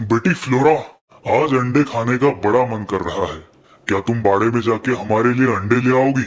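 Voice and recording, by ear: A man puts on a cartoonish character voice at a medium pitch, speaking at a moderate pace.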